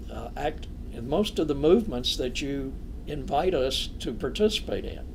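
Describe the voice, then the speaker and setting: Echo from the room is audible. A man's speech moves at a fairly slow pace. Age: 80s+. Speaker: clergyman and physician. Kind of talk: interview conversation.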